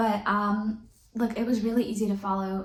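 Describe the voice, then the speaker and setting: A woman speaks at a moderate pace with a medium pitch. Noticeable background noise and audible room echo come through. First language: not English. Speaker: book reviewer. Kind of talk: casual chat. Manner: animated.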